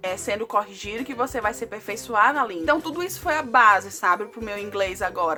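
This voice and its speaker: A woman speaks at a fairly quick pace. Her pitch variation is ordinary, and music plays in the background. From Brazil. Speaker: vlogger. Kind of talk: casual vlog talk to camera. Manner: animated.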